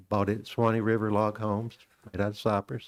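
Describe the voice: A man speaks at a fairly low pitch. His pitch moves very little.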